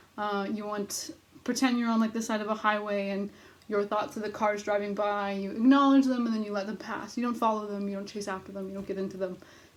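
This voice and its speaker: There is audible room echo as a woman talks very fast at a medium pitch with fairly even intonation. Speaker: writing workshop leader. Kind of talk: recorded video lecture. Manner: frantic.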